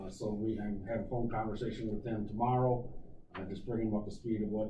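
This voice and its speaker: Over noticeable background noise and audible room echo, a man speaks quickly in a fairly low, monotone voice with flat intonation. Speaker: county emergency manager. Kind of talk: committee meeting report. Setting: county committee meeting.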